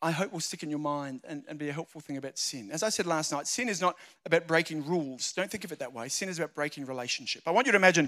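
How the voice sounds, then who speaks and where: Over a very clean recording with a silent background, a man speaks very fast in an Australian accent. His voice is fairly high-pitched, with a bright, sharp tone. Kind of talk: sermon.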